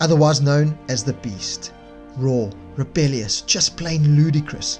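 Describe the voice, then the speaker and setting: With music in the background, a man with a South African accent speaks at a moderate pace and fairly high pitch, showing ordinary pitch variation. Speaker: motorcycle reviewer.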